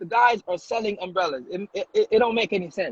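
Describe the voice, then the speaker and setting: Speaking with a Jamaican accent, a man uses an animated tone. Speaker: comedian and social media influencer. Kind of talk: casual chat.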